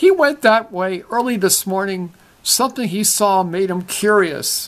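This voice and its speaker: Someone puts on a character voice, pitched in the middle range and delivered at a moderate pace. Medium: read story.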